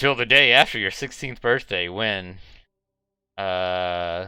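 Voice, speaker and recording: Very slow, fairly low-pitched man's voice, bright and sharp in tone with ordinary pitch variation, in a very clean recording with a silent background. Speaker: gaming streamer. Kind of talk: live game streaming with read-aloud story text. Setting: live stream.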